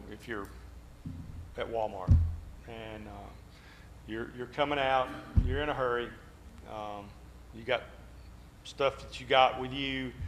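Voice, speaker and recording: This man talks at a fairly slow pace, with long, frequent pauses. His loudness swings widely from moment to moment. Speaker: Bible class teacher. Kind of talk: Bible class discussion.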